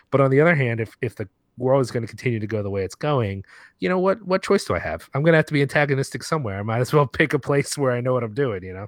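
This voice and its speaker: Over a quiet background, a man with a medium pitch talks at a very fast pace with lively intonation, in a dry, close sound with no echo. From US, Puerto Rican heritage. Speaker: film podcaster and writer. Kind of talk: casual interview chat.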